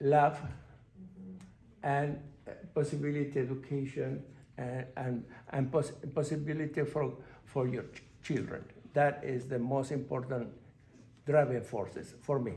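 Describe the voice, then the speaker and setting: A man's somewhat breathy, dark, mellow voice, fairly high in pitch, with monotone, flat intonation, a fairly slow pace, long, frequent pauses and audible room echo. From Argentina. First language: Spanish. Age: 60s. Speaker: panelist. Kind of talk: panel discussion. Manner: halting.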